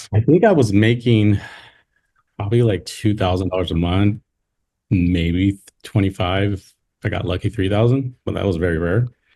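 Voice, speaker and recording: A man with an American accent, somewhat breathy, dark and mellow in tone, fairly low in pitch with ordinary pitch variation, at a moderate pace with long, frequent pauses, on a very clean recording with a silent background. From California. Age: 30s. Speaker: insurance sales agent and army veteran. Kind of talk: casual chat. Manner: halting; laid-back.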